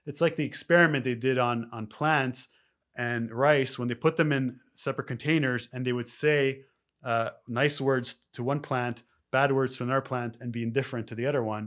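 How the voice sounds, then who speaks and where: In a very clean recording with a silent background, a man with a Canadian accent speaks in a plain, everyday voice at a medium pitch, with fairly even intonation and a fairly quick pace. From Canada (Toronto). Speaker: spiritual life coach. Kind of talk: casual interview.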